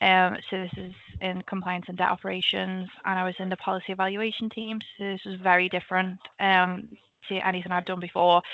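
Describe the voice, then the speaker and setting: A woman with a Liverpool accent speaks at a fairly quick pace. Her medium pitch stays in a monotone, flat intonation. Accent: Liverpool (Scouse). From Liverpool, England. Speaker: government analyst. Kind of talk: career talk presentation. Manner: casual, many filler ums.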